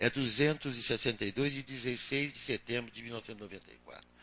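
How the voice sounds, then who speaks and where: A man speaks at medium pitch with a bright, sharp tone. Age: 80s+. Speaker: senior physician panelist. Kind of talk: panel presentation. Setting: public panel in Brasília. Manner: halting, with fillers.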